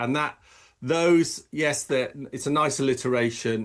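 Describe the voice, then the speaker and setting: Against a quiet background, a man with a fairly high voice speaks at a fairly slow pace. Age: 60s. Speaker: optometrist and professional coach. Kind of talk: podcast interview. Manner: halting.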